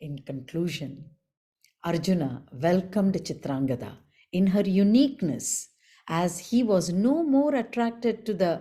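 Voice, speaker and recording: A woman with a dark, mellow, somewhat breathy tone speaks at a fairly slow pace, her pitch swinging very widely. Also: medium pitch for a woman. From India. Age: 60s. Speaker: storyteller. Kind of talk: storytelling workshop. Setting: video call. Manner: soft-spoken; clear enunciation.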